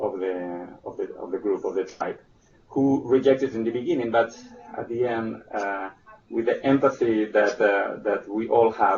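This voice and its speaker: A man at a moderate pace with a Spanish accent, against noticeable background noise. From Spain. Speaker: presenter on early childhood development. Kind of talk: webinar presentation. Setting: online webinar. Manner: halting, many fillers and restarts.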